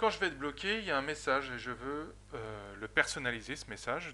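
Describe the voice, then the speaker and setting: Using vocal fry, a man talks at a moderate pace in a bright, sharp tone. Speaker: software trainer. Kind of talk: tutorial.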